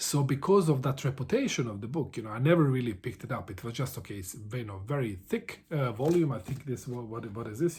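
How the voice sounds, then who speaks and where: A man talks very fast, barely pausing, in a somewhat breathy medium-pitched voice. His intonation is lively and his loudness swings widely. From Bosnia, small town. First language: Serbo-Croatian. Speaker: book vlogger. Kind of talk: casual vlog monologue. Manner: halting, many fillers and repetitions.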